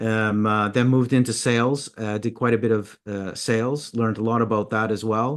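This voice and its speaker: Spoken with a slight Canadian accent, the delivery is monotone and flat. The pace is moderate, with hardly any pauses. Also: man, medium pitch for a man, quiet background. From Canada, Toronto. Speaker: mindset consultant. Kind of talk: interview. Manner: halting, many fillers and repeats.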